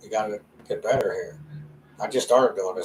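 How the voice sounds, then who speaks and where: A fairly quick pace from a man's voice. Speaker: podcast host. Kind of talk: casual monologue. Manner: fast.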